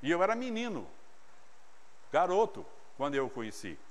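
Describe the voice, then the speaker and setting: With audible room echo, a man speaks at a moderate pace using very wide pitch swings. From interior of São Paulo state, Brazil. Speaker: pastor. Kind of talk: sermon. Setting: church. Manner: animated.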